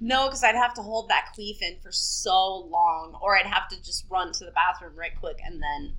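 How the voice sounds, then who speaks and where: At a moderate pace and with hardly any pauses, a woman speaks with big swings in loudness over noticeable background noise. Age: 30s. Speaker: webcam model. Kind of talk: casual chat.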